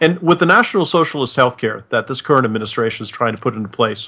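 This is an unremarkable speaking voice with an American accent. Its pitch variation is ordinary. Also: man. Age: 50s. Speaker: retired army officer. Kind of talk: casual chat.

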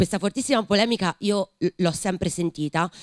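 A woman with ordinary pitch variation, on a dry recording with no echo and a quiet background. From Tuscany. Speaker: writer and teacher. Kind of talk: panel discussion. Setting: library event with audience. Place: hall. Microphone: studio mic.

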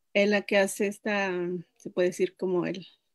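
At a fairly slow pace, a woman with a Mexican accent speaks over a quiet background. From Mexico, Chicontepec, Veracruz; Veracruz. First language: Nahuatl (speaking Spanish). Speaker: language teacher. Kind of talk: interview. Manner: halting. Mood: friendly, smiling. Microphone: video call.

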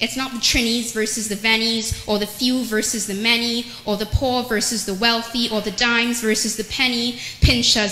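A woman's fairly high voice, monotone and flat in intonation, carries audible room echo. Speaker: spoken word poet. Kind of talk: spoken word poetry performance. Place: church. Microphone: handheld.

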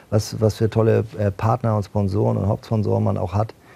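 Somewhat breathy and dark, mellow in tone, a man speaks at a fairly quick pace with fairly low pitch and ordinary pitch variation. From northern Germany, Bad Schwartau near Lübeck; northern Germany. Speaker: football club executive and former handball player; talk show guest. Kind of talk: TV talk show interview. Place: studio. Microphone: lapel.

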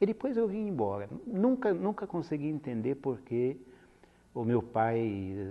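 This is a man's voice. He speaks with an Italian accent. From Italy, Piedmont. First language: Italian (speaking Portuguese). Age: 70s. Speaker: retired linguistics professor. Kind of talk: oral history interview. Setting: filmed interview. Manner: hesitant, many fillers. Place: studio. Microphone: lapel.

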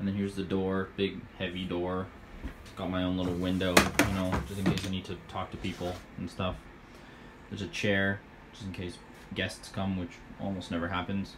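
A man's very deep, low voice in a monotone, flat intonation, at a moderate pace with long, frequent pauses and noticeable background noise. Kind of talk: casual vlog chat. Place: booth. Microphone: phone near.

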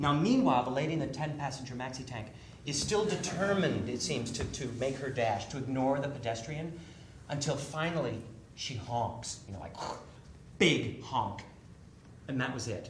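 Amid light background noise and audible room echo, a man talks at a moderate pace with ordinary pitch variation and long, frequent pauses. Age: 50s. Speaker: author. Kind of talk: storytelling performance. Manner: animated. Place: stage.

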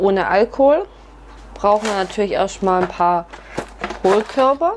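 A woman at a fairly slow pace, with ordinary pitch variation and noticeable background noise. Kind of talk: tutorial. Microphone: camera far.

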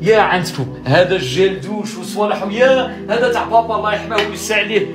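A high-pitched man talks at a moderate pace. Clear music plays in the background. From Algeria. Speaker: emigrant son returning home. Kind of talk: emotional personal video talk. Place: home room. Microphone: phone near.

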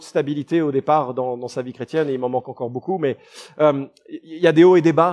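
A man speaks in a warm tone with ordinary pitch variation. The sound is dry and close with no echo, over a quiet background. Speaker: pastor. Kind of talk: sermon. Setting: church. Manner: fervent, earnest preaching with emphatic repetition; conversational, warm, occasionally hesitant.

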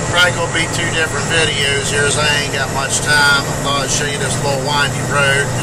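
Loud background noise accompanies speech at a moderate pace. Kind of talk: casual vlog chat. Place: car. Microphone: phone near.

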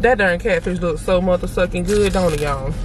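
The speech goes at a very fast pace. The sound is dry with no echo, over light background noise. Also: woman. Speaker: food vlogger. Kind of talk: casual vlog chat. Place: car.

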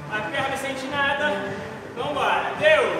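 A raised, projected voice speaks at a very slow pace. Strong room echo and noticeable background noise fill the recording. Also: man. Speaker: fitness instructor. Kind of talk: workout coaching cues. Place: gym.

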